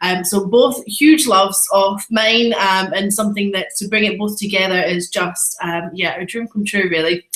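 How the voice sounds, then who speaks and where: A woman with a Scottish accent and medium pitch speaks at a moderate pace with ordinary pitch variation amid noticeable background noise. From Scotland, Edinburgh. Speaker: photographer and photography trainer. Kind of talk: webinar presentation. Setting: live online webinar. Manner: animated.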